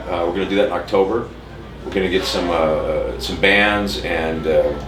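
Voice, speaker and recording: With an American accent, a man speaks at a moderate pace over noticeable background noise and audible room echo. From Las Vegas, Nevada, US. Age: 50s. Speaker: tattoo shop owner and punk musician. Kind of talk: casual interview. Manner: occasional stumbling on words after stroke; halting, repeats words.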